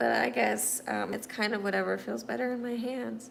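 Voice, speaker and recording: A woman with an American accent speaks, and room echo is audible. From US Midwest (Missouri). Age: 30s. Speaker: livestreamer, artist with quadriplegia. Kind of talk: casual livestream chat answering viewer comments.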